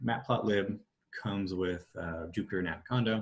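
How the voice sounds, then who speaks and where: The man's voice is somewhat breathy and fairly low in pitch. His pitch variation is ordinary. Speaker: data science workshop presenter. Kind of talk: tutorial. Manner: hesitant, many fillers.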